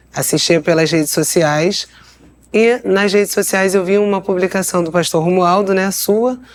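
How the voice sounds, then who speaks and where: In a Rio de Janeiro accent, a woman talks at a moderate pace with very even loudness. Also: medium pitch for a woman, ordinary pitch variation. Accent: carioca accent, noticeable. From Rio de Janeiro state, Brazil. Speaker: lawyer and missionary. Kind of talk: interview testimony.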